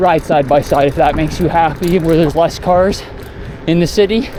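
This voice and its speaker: The speech moves at a moderate pace. Noticeable background noise runs under it. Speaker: cycling vlogger. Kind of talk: casual monologue while riding. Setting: outdoors on a bike. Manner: halting, stuttering at times.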